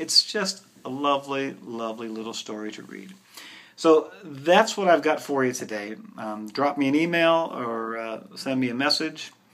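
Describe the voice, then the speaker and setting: This man has a normal speaking voice, fairly high-pitched, with lively intonation. He keeps a moderate pace, and his loudness swings widely. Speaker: bookseller. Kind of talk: book recommendations video.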